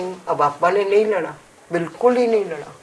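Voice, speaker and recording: Noticeable background noise surrounds a woman speaking with ordinary pitch variation. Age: 80s+. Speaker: activist mother of dowry victim. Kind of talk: interview. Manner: animated.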